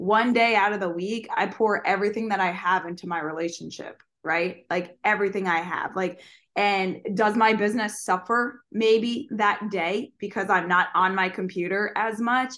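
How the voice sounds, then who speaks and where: In a quiet background, a woman speaks in a normal speaking voice at a moderate pace, with a medium pitch and fairly even intonation. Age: 20s. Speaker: fitness coach and podcast co-host. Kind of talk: casual chat.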